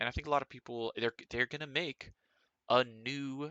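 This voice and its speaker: This man speaks with ordinary pitch variation. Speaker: gaming streamer. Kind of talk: casual live stream chat. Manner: casual, filler-heavy; mumbling. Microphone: too quiet.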